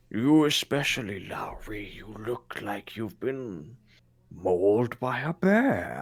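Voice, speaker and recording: Using a raspy put-on character voice, a man speaks very slowly at a medium pitch. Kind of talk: formal archaic fantasy speech. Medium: actual play. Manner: stately, calm, reassuring.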